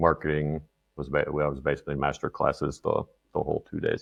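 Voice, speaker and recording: Speaking with a Canadian accent, a man uses vocal fry and a very deep, low pitch in a monotone, flat intonation. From Canada. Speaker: content marketer. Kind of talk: casual interview chat.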